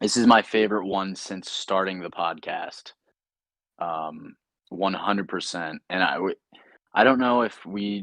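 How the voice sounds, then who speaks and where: The pace is fairly slow, with fairly even intonation. The sound is dry and close, without any echo. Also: man. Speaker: podcast co-host. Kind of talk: casual chat. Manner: monotone.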